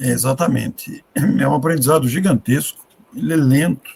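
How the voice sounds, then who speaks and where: The man's voice sounds somewhat breathy. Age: 60s. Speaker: spiritist speaker. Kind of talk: live discussion.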